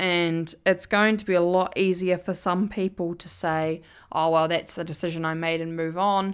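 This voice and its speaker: The recording is very clean, with a silent background. A woman speaks at a moderate pace in a fairly low voice with monotone, flat intonation. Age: 20s. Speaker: podcast host and university student. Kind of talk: solo podcast monologue. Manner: hesitant with fillers.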